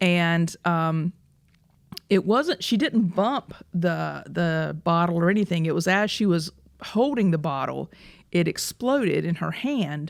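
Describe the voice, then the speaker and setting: With a Southern US accent, a woman with a fairly low voice talks at a fairly slow pace with lively intonation, on a very clean recording with a silent background. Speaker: personal injury lawyer, podcast host. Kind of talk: casual chat.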